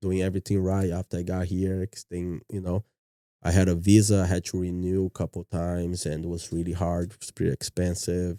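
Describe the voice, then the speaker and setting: At a fairly quick pace, a dark, mellow tone comes through in monotone, flat intonation with big swings in loudness, on a very clean recording with a silent background and a dry, close sound with no echo. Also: man, very deep, low pitch for a man. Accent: Brazilian Portuguese. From Brazil, Minas Gerais. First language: Portuguese. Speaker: martial arts gym owner. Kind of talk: podcast interview. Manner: soft-spoken.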